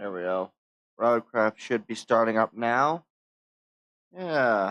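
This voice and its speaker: A man with an American accent speaks at a very slow pace in a relaxed tone, with ordinary pitch variation. The sound is dry and close, with no echo. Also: quiet background. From United States. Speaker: VTuber streamer. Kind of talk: live gameplay stream chat. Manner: casual, relaxed.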